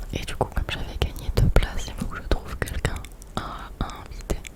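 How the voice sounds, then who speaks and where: A woman is whispering at a moderate pace with noticeable background noise. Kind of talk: ASMR storytime, casual chat whispered close to the mic. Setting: close to a Blue Yeti microphone, binaural. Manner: whispered, soft.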